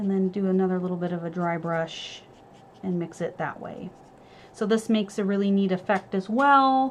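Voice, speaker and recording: A woman with an unremarkable speaking voice and an American accent, medium pitch, ordinary pitch variation. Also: moderate pace. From California, Sierra Nevada. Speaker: art supply store demonstrator. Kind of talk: live tutorial demo. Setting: home studio live stream. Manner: casual, many fillers.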